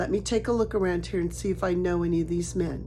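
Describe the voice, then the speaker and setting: A woman uses a put-on character voice, quiet and at a very even loudness. She talks very fast, and background noise can clearly be heard. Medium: read story. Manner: quiet, guarded.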